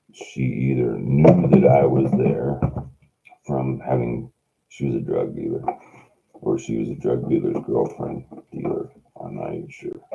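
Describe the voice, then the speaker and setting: A man speaks at a fairly slow pace, with big swings in loudness and long, frequent pauses. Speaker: homeless livestreamer. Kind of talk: casual monologue livestream. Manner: rambling, halting.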